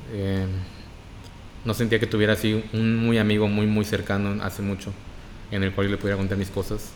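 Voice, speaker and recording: Speaking in a northern Mexican accent, a man has a fairly low pitch and a monotone, flat intonation. He talks at a fairly quick pace but with long, frequent pauses. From Mexico, Reynosa, Tamaulipas. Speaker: podcast guest. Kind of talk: casual chat.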